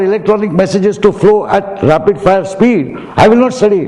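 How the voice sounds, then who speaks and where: Someone talks at a fairly quick pace amid noticeable background noise and audible room echo. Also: man. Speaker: professor. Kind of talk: commencement speech. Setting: auditorium with audience.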